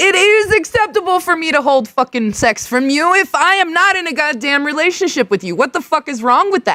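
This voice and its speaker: Her raised, projected voice is extremely high with a bright, sharp tone and very wide pitch swings as the woman speaks at a moderate pace, the sound dry and close with no echo. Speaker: live streamer reacting to videos. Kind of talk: live stream reaction rant. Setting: garage, live stream. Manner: loud; animated.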